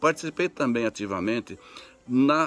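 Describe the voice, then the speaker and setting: Over music in the background, a man at a medium pitch speaks at a moderate pace with ordinary pitch variation, the sound dry and close with no echo. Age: 70s. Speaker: church lay leader. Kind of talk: testimony. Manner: halting.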